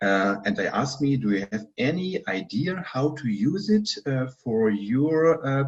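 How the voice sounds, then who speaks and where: A somewhat breathy man's voice, fairly high in pitch, fairly slow, with very wide pitch swings. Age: 60s. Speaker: physician. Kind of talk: interview. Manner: halting.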